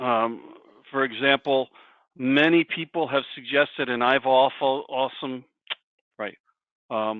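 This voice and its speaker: A man with a medium-pitched voice and ordinary pitch variation speaks with long, frequent pauses. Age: 60s. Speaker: career coach presenter. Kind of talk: presentation with discussion.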